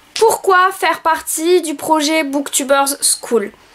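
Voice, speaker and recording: At a very slow pace, a woman speaks with an extremely high pitch and ordinary pitch variation. Noticeable background noise is present. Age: 20s. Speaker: book vlogger and school assistant. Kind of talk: video self-presentation. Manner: hesitant, many filler sounds.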